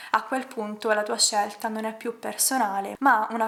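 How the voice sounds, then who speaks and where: A woman with fairly high pitch speaks at a moderate pace in a flat, monotone delivery. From Palermo, Sicily, Italy. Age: 20s. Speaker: ballet dancer; animal rights activist. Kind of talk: personal story told to camera.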